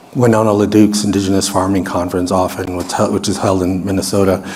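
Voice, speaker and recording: A man speaks with an American accent. There is noticeable background noise and audible room echo. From US Midwest. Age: 60s. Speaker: researcher. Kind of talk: lecture.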